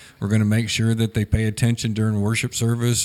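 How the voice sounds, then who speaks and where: A man speaks in a plain, everyday voice at a fairly low pitch. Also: very clean recording, silent background. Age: 60s. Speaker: church member, parent. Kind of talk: casual panel discussion. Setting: studio, around a table.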